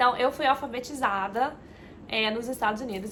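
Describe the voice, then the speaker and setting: A woman talks at a moderate pace, high in pitch, with ordinary pitch variation. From Minas Gerais, Brazil and Florida, USA. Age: 20s. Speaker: travel vlogger. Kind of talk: casual personal introduction vlog. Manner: hesitant, many filler words.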